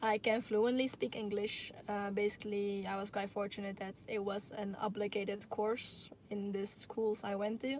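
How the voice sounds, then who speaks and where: Using a Dutch accent, a woman at a medium pitch talks at a moderate pace with hardly any pauses and a monotone, flat intonation. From Netherlands. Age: 20s. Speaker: YouTuber. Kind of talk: live Q&A stream. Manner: halting.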